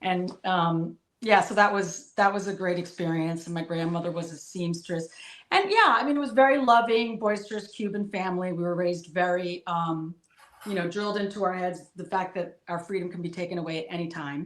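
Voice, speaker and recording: Speaking at a fairly quick pace, a woman with a medium pitch talks in a New Jersey accent. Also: ordinary pitch variation. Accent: New Jersey American English. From New Jersey, US. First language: Spanish. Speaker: political commentator guest. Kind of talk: interview, personal life story. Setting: live stream video call.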